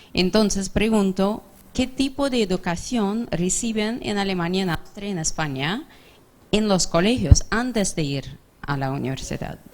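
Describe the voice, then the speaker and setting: At a fairly slow pace, a woman with a medium pitch speaks with lively intonation. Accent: English. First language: English (speaking Spanish). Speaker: audience member asking a question. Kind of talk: audience question. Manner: halting, self-correcting.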